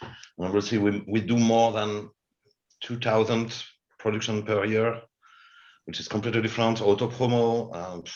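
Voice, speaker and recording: A man speaks in a monotone, flat intonation at a medium pitch and moderate pace, with long, frequent pauses and big swings in loudness. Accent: French. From France. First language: French. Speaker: television head of production. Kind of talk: webinar panel discussion. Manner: halting.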